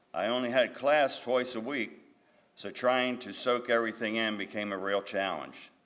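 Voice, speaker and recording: This man has an unremarkable speaking voice at a medium pitch, moving at a moderate pace with ordinary pitch variation. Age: 60s. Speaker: GED graduate. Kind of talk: graduation speech.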